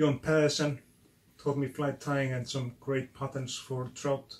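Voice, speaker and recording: The man has an Icelandic accent and a fairly high pitch. His intonation is monotone and flat. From Iceland, Westfjords. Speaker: fly tying channel host. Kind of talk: casual video intro talk. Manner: halting.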